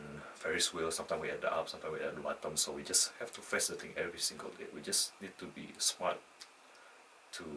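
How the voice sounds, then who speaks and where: With a non-native accent, a man talks at a very fast pace. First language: not English. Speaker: student vlogger. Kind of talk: unscripted personal monologue. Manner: halting, with false starts and self-corrections.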